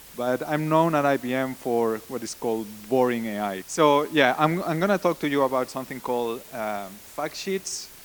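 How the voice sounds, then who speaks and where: At a moderate pace and with hardly any pauses, a man with a Spanish accent speaks at a medium pitch with ordinary pitch variation. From Spain. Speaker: conference speaker, data science team lead. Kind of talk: conference talk. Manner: halting, frequent repetitions and fillers.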